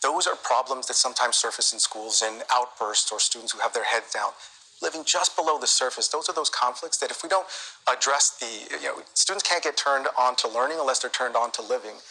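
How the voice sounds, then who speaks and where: Over noticeable background noise, a man with an American accent talks at a very fast pace with ordinary pitch variation. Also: medium pitch for a man. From US. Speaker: nonprofit executive. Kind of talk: TV interview.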